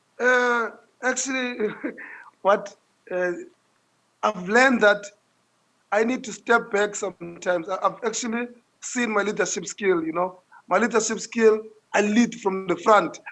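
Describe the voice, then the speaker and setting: Speaking loudly at a fairly slow pace, a man with a high pitch leaves long, frequent pauses. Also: fairly even intonation. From South Africa, Langa in Cape Town. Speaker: social entrepreneur. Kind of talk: interview. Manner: repetitive stammering.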